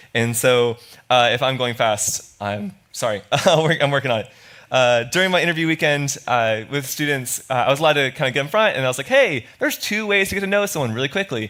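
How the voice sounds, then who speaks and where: A man with an American accent talks at a fairly quick pace, his fairly high voice bright and sharp in tone, with lively intonation. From Florida. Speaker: student pastor. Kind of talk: sermon. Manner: fast; animated.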